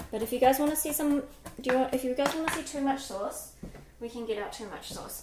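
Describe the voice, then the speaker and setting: A woman is speaking. Noticeable background noise runs underneath her voice. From New Zealand. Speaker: cooking livestreamer. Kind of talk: live-stream cooking chat. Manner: casual, chatty with filler words.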